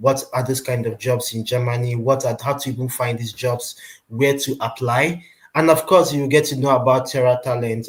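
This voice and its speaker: This man talks at a moderate pace in a medium pitch, his voice somewhat breathy and his intonation fairly even. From Nigeria. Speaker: recruitment company presenter. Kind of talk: webinar presentation. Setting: online webinar.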